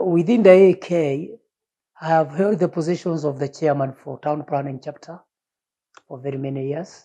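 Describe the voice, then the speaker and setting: A man's fairly high voice with a dark, mellow tone, moderate pace and ordinary pitch variation. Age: 60s. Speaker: retired urban planner. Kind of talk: interview testimony.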